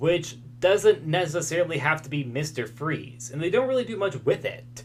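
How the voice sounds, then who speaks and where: A man's fairly high voice moves through very wide pitch swings. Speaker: YouTube commentator on comic book media. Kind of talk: video essay commentary. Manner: fast.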